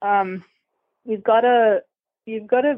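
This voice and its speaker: With an American accent, a woman speaks at a fairly high pitch and ordinary pitch variation. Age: 20s. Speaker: event rider and student. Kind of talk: interview.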